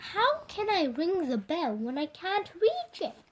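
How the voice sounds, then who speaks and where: In a put-on character voice, a woman speaks with an extremely high pitch, very wide pitch swings and a timid tone. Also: fairly slow pace. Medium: read story. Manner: small, timid.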